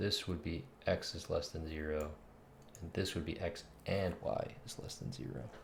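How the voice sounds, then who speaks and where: Soft-spoken, a man talks at a moderate pace with a very deep, low pitch, vocal fry and ordinary pitch variation. Audible room echo is present. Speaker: game developer streamer. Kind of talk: live coding stream commentary. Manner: thinking aloud, halting.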